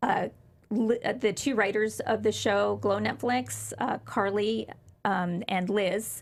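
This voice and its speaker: A woman speaks at medium pitch in a somewhat breathy voice. Her intonation is fairly even. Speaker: former pro wrestler. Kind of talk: interview.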